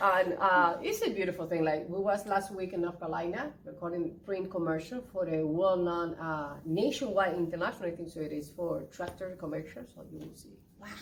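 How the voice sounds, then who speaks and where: With a Spanish accent, a woman speaks at a fairly quick pace with hardly any pauses. Her pitch is fairly low with ordinary variation, and there is noticeable background noise. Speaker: interpreter and actress. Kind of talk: casual interview. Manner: animated.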